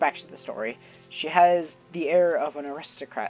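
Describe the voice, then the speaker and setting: Music plays in the background as a woman speaks at a fairly low pitch. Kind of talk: reading a fantasy story aloud with casual asides. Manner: stumbling over words, yawning.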